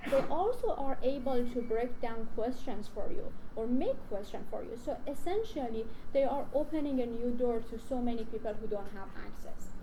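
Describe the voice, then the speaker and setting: A high-pitched woman in a Persian accent with ordinary pitch variation, amid noticeable background noise and audible room echo. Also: moderate pace. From Iran. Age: young. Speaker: research scientist. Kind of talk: conference talk. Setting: stage with audience. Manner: talkative.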